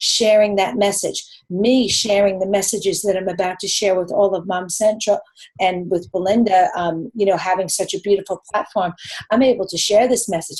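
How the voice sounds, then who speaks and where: A woman speaks with a New York accent at a medium pitch. Her pace is moderate. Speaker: nutritionist. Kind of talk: live webinar Q&A answer. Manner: animated.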